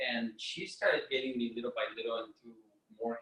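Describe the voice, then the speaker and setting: A man speaks at a moderate pace in a Mexican accent. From Mexico. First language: Spanish. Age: 30s. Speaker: entrepreneur and health presenter. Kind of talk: health seminar talk. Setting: video call. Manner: hesitant, many fillers.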